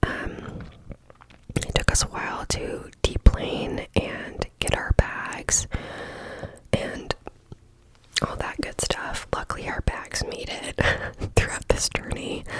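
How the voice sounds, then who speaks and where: Whispered speech moves at a very slow pace, broken by long, frequent pauses, with noticeable noise behind it. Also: woman. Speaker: ASMR creator. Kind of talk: casual personal story.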